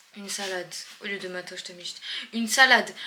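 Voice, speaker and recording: A woman speaks at a moderate pace in a medium pitch, with noticeable background noise behind her. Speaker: travel vlogger. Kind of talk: casual vlog talk to camera. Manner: animated.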